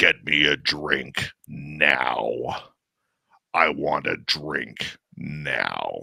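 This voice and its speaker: Growling in a put-on character voice, a man speaks very slowly at a very deep, low pitch. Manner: demanding, cursing.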